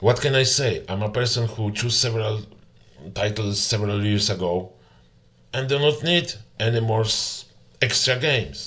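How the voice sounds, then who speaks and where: Someone with a Polish accent talks at a moderate pace with ordinary pitch variation. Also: man. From Poland. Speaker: gamer. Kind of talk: complaint commentary. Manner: halting.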